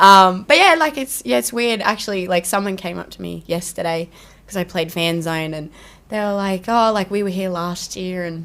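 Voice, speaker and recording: An Australian accent at a moderate pace with ordinary pitch variation and big swings in loudness, on a very clean recording with a silent background. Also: woman, medium pitch for a woman. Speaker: country singer. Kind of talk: casual chat. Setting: radio studio. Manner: energetic.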